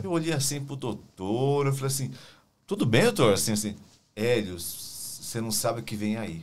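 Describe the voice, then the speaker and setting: With lively intonation, a man speaks at a moderate pace and medium pitch amid audible room echo. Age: 50s. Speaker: podcast co-host and hospital worker. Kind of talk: casual interview chat.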